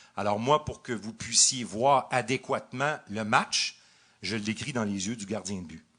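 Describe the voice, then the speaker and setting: With a Quebec accent, a man speaks at medium pitch in a bright, sharp tone, his loudness swinging widely. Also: ordinary pitch variation, fairly slow pace. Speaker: radio hockey play-by-play announcer. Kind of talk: live podcast interview answer.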